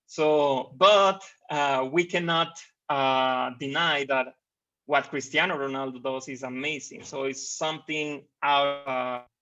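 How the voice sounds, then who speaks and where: A man speaks at a very slow pace in a fairly high pitch. His intonation stays fairly even. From Mexico. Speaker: conference presenter, researcher. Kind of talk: conference presentation. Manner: halting, many fillers and repetitions.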